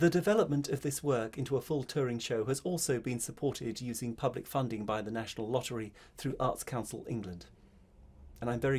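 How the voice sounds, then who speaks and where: A man speaks at a very fast pace in a mid-range voice, somewhat breathy, with ordinary pitch variation. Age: 50s. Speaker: spoken word artist. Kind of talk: casual talk to camera.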